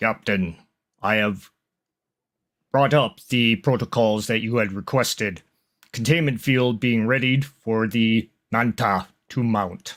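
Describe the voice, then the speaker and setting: Using a put-on character voice of medium pitch, a man talks at a fairly slow pace with long, frequent pauses. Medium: actual play. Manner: formal, clipped.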